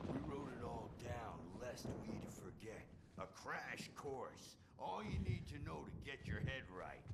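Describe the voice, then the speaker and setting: A man uses a put-on character voice at a medium pitch. Loud background noise fills the clip. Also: fairly slow pace. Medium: game stream. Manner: gruff, blunt.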